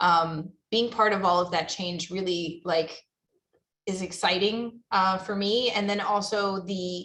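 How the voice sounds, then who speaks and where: Loud and bright with a sharp tone, a woman's medium-pitched voice keeps fairly even intonation. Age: young. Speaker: zoo professional, panelist. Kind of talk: panel discussion.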